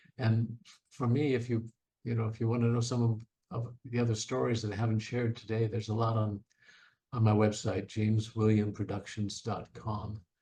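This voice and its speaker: A man speaks in a dark, mellow tone that is somewhat breathy. His intonation is monotone and flat, and he talks at a fairly quick pace. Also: medium pitch for a man. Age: 70s. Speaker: Broadway actor and singer. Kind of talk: interview. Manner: halting, repeats words.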